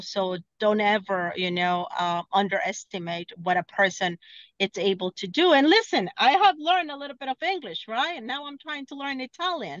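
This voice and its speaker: Someone with a Spanish accent talks at a moderate pace, pitch swinging very widely. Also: woman. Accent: Spanish accent, still noticeable. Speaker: car dealership sales director. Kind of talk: podcast interview. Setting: in a car, video call. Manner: halting, many fillers.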